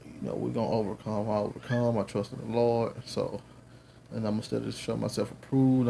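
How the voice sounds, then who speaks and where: A man with a Southern US accent talks at a fairly quick pace. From US South. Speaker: religious teacher, video blogger. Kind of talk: lecture. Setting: at home. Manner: casual, halting.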